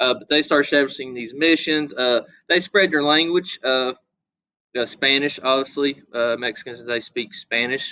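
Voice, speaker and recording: With an American accent, a man speaks at a moderate pace in a bright, sharp tone of fairly high pitch, with ordinary pitch variation. The sound is dry and close, with no echo. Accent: hillbilly. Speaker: history teacher. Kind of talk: lecture. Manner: hesitant, many filler words; casual, folksy.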